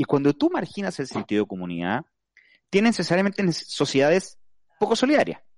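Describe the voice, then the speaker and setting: The man talks at a fairly quick pace. The sound is dry and close, with no echo. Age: 40s. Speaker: lawyer and radio panelist. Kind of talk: casual radio panel discussion.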